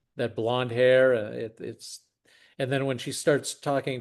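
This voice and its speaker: A man talks at a very slow pace and a medium pitch, his intonation monotone and flat. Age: 60s. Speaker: podcast host and investor. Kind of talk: casual chat.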